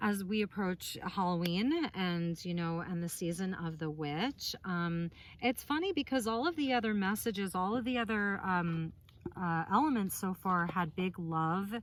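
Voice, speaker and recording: A woman speaks at a fairly slow pace. Her voice is medium in pitch with ordinary pitch variation. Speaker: tarot reader. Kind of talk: tarot reading. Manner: loud.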